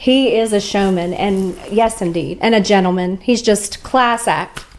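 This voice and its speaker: With noticeable background noise, a woman speaks in a medium pitch at a fairly slow pace. Her tone is upbeat, and her pitch varies in an ordinary way. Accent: American. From West Virginia, USA. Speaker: country singer and songwriter. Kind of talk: interview answer, casual storytelling. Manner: chatty, upbeat, laughing.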